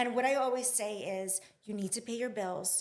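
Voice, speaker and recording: With an animated tone, a woman speaks at a moderate pace. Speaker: nurse and business coach. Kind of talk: podcast interview. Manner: loud.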